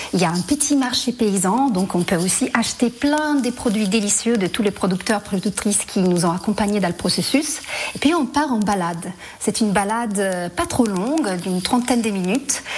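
Lively intonation at a moderate pace, loudness very even, with noticeable background noise. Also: woman, medium pitch for a woman. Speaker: theatre director. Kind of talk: radio interview.

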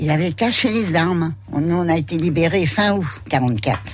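Audible room echo and noticeable background noise accompany a woman whose fairly low pitch carries lively intonation. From Paris suburbs, France. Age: 80s+. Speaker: elderly interviewee. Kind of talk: interview. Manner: halting.

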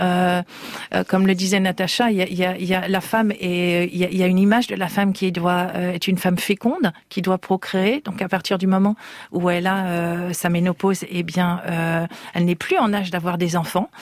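A woman speaks at a moderate pace in a medium pitch, with very even loudness and a monotone, flat intonation. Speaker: beauty magazine editor. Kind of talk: radio panel discussion.

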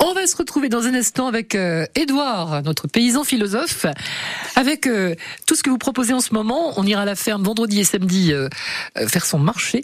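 With a fairly high pitch and very wide pitch swings, a woman talks at a moderate pace with long, frequent pauses and very even loudness, while noticeable background noise runs underneath. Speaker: radio host. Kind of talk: radio show hosting.

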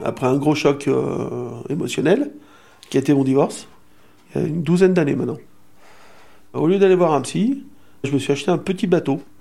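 A man's dark, mellow voice, fairly high in pitch, with vocal fry, a fairly quick pace and long, frequent pauses. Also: ordinary pitch variation. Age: 60s. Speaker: retiree. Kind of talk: interview testimony.

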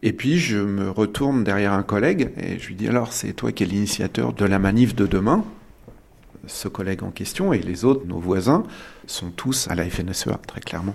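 With lively intonation, a man talks at a moderate pace in a fairly low pitch. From Île-de-France. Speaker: farmer. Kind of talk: testimony. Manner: halting.

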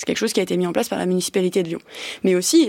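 Lively intonation marks this woman's speech in a very clean recording with a silent background. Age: 20s. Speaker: senator. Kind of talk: political debate. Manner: halting, many hesitations.

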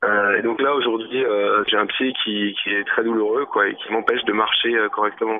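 A man talks at a moderate pace with hardly any pauses, over noticeable background noise. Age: 20s. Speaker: injured protester. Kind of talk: testimony. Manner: halting.

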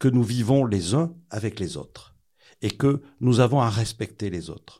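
A man with a dark, mellow tone speaks at a fairly slow pace in a very clean recording with a silent background. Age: 60s. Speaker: protestant newspaper director. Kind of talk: interview, testimony.

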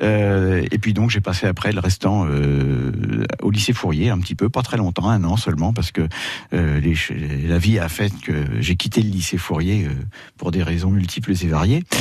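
Very deep, low-pitched male voice at a fairly slow pace, with ordinary pitch variation. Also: very even loudness. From Paris, France. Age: 60s. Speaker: retired winemaker. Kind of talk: radio interview. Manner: halting.

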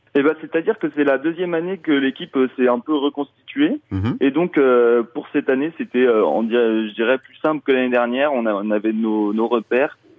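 Hardly pausing, a man talks at a moderate pace and medium pitch with ordinary pitch variation. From Mayenne, France. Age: 20s. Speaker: festival programmer. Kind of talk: radio interview. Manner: halting.

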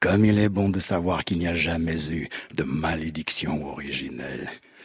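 A man's very deep, low voice with ordinary pitch variation and noticeable background noise. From Cameroon. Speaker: actor and slam poet. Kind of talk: slam poetry performance. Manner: rhythmic declamation.

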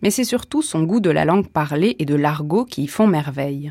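Over a very clean recording with a silent background, a plain, everyday voice moves at a moderate pace with lively intonation. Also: woman. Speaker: radio presenter. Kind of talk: radio announcement introducing a reading. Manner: formal, clear.

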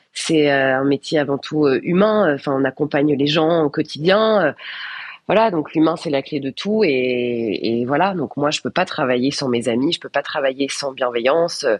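Using lively intonation, a woman speaks at a fairly slow pace in a very deep, low pitch. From northern France (Valenciennes, Nord). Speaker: TV presenter and journalist. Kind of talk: radio interview.

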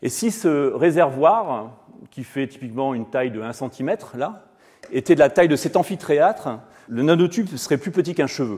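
Lively intonation is broken up by long, frequent pauses. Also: man. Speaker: physicist and professor. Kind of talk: inaugural lecture. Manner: fast.

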